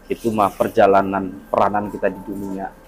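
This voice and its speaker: A man speaks over music in the background. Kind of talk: interviewer commentary to viewers.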